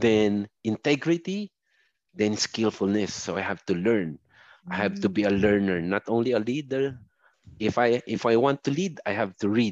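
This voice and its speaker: In a plain, everyday voice, a man speaks at a fairly slow pace with lively intonation, recorded with a dry, close sound with no echo against a quiet background. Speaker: software support supervisor, overseas worker. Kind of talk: remote interview testimony.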